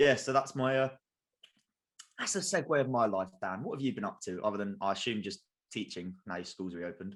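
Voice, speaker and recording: A man talks at a very fast pace. He speaks with a southern English accent. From England, Kent. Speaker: sports podcast co-host. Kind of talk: casual chat.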